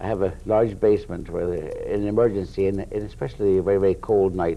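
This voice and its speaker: Amid noticeable background noise, a fairly low-pitched man speaks at a very fast pace with ordinary pitch variation. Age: 60s. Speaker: retired navy sailor, shelter founder. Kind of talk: interview. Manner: halting.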